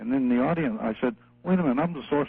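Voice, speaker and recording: A man talks at a very fast pace with lively intonation. There is noticeable background noise. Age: 80s+. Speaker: retired army colonel. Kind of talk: interview. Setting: phone call.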